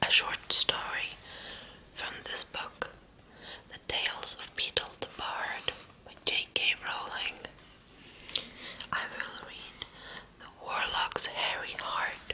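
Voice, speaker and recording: Whispering at a very slow pace, the speaker leaves long, frequent pauses amid noticeable background noise. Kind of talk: ASMR story reading. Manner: soft whisper.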